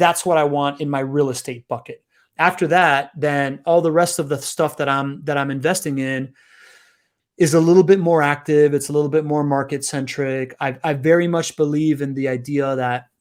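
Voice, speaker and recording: A man speaks at a moderate pace with a fairly high pitch, on a very clean recording with a silent background. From South America, raised partly in Europe and US. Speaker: community builder and podcast host. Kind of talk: casual interview chat. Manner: animated.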